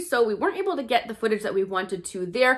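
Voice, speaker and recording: Very fast speech comes from a woman with a bright, sharp tone. The background is quiet. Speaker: shopping vlogger. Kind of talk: casual vlog chat. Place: home room. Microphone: phone near.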